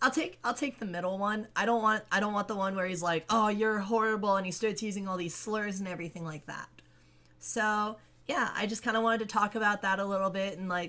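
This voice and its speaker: A woman speaks at medium pitch and a fairly quick pace. Her tone is bright and sharp, with fairly even intonation. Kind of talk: casual talk to camera.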